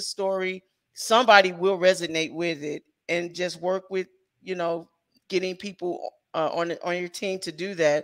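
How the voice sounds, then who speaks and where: A woman with an American accent has a normal speaking voice, pitched fairly low. She talks at a fairly slow pace against a quiet background. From US Midwest, St. Louis; US Midwest. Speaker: independent filmmaker and writer; guest. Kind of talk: interview. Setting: video call livestream. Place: home room. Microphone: headset.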